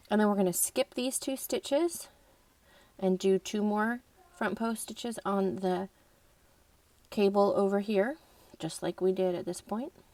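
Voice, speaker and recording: A woman's dark, mellow voice at medium pitch, fairly slow with long, frequent pauses, in a dry, close sound with no echo. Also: ordinary pitch variation. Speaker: crochet instructor. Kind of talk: tutorial.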